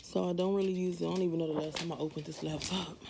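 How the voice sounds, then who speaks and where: Noticeable background noise sits behind a woman who talks fairly quickly. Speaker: lifestyle vlogger. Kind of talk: casual vlog.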